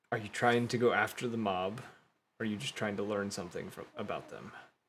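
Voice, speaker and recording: A man's put-on character voice, growling at a medium pitch and a fairly quick pace. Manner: brooding, thoughtful.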